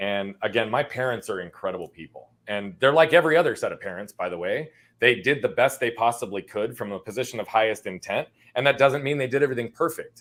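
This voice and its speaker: With an American accent, a man races along at a very fast pace in a medium-pitched voice. His intonation is lively, and his loudness swings widely. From Arizona, US. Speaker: entrepreneur coach. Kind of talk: interview storytelling. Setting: live-streamed podcast. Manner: energetic.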